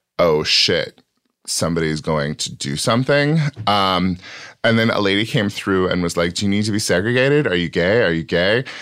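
Booming with an American accent, a man speaks at a fairly low pitch and moderate pace with lively intonation. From small farm town, US. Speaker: stand-up comic and writer. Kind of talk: casual interview chat. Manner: performative stage voice, off-stage private voice.

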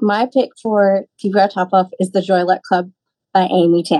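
With an American accent, a woman speaks at a medium pitch in a dark, mellow tone. Her intonation is monotone and flat. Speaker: bookseller. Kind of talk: book recommendation.

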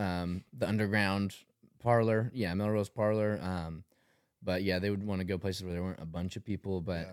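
Recorded very cleanly against a silent background, a man with a Tennessee accent speaks fairly low and fairly quickly with fairly even intonation. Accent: Southern US (Tennessee). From Tennessee, Tullahoma. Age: 20s. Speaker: clothing brand founder. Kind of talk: casual chat.

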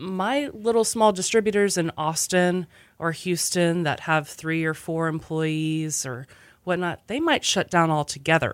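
In a plain, everyday voice, a woman with an American accent speaks at a fairly slow pace and a fairly low pitch, with ordinary pitch variation. The recording is very clean, with a silent background. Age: 30s. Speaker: restaurant owner. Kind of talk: casual chat.

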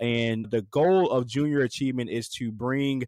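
A man with an American accent and a normal speaking voice talks at a moderate pace and medium pitch with fairly even intonation. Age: 30s. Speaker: fast-food restaurant executive. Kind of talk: interview.

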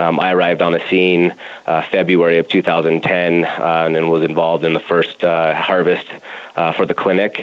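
A man with an American accent talks at a fairly quick pace. His voice is very deep and low, with noticeable background noise behind it. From Colorado, Denver. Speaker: cannabis grow operations director. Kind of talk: interview. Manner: halting, many fillers.

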